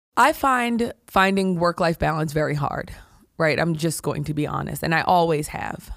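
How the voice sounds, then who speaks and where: A woman speaks at a moderate pace in a normal speaking voice, fairly low in pitch with lively intonation. The recording is very clean with a silent background. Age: 40s. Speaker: healthcare executive. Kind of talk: interview.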